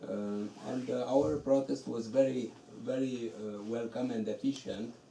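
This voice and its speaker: Noticeable background noise sits behind a man of medium pitch. He speaks at a fairly slow pace with ordinary pitch variation. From Romania. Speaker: novelist. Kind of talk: bookstore talk. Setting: bookstore event with audience. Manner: halting.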